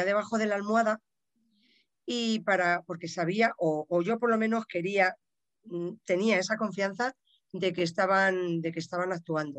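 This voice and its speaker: The recording is dry and close with no echo as a woman uses an ordinary speaking voice, talking at a fairly slow pace with ordinary pitch variation. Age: 50s. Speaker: podcast listener and practitioner, works with her hands. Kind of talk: casual interview.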